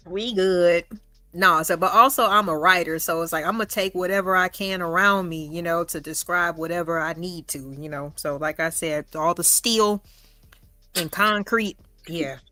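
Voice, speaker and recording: A woman's bright, sharp voice, fairly low in pitch, at a moderate pace with ordinary pitch variation, on a very clean recording with a silent background. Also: big swings in loudness. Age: 40s. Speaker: streamer, channel host. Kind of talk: casual chat. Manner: calm.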